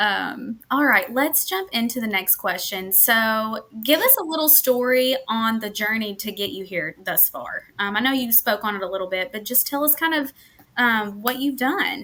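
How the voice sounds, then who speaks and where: A woman in a Kentucky accent, fairly high-pitched with a bright, sharp tone, at a moderate pace with ordinary pitch variation and hardly any pauses. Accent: US Southern (Kentucky). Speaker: podcast host, staffing market manager. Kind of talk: casual interview podcast. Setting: live stream.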